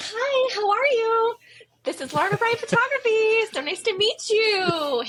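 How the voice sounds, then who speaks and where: A woman puts on a character voice at an extremely high pitch, talking at a moderate pace. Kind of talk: polite, formal, cheery. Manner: sweet, professional.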